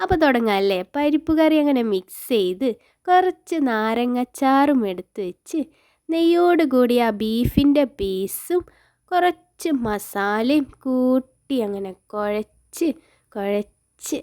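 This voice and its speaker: Dry and close with no echo, a woman's high-pitched voice moves through very wide pitch swings. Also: very clean recording, silent background. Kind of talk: casual food vlog talk.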